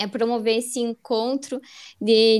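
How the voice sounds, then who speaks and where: A woman speaks very slowly in a high voice, recorded very cleanly against a silent background. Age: 20s. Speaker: podcast co-host, astrologer, environmental engineer. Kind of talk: casual chat.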